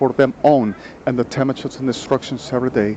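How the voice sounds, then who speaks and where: A man speaks with a Spanish accent at medium pitch and fairly even intonation. Noticeable background noise sits behind him. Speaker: vlogger. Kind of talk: personal monologue. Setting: outdoors on a street. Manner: halting.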